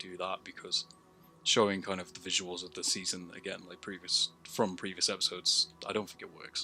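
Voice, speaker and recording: Music plays behind a man speaking at a fairly low pitch. His intonation is monotone and flat. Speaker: amateur filmmaker reviewing own work. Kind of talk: solo video review commentary. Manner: casual, with many fillers.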